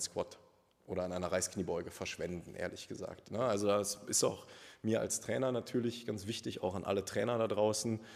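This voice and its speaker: A man with an unremarkable speaking voice talks at a fairly quick pace, fairly low in pitch and fairly even in intonation. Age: 30s. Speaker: personal trainer. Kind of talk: casual interview.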